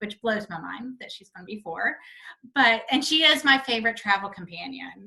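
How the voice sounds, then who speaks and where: Speaking at a fairly quick pace with a slight Southern US accent, a woman uses a fairly high pitch, a bright, sharp tone, lively intonation and vocal fry, with big swings in loudness. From North Carolina. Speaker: hotel representation company founder. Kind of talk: interview.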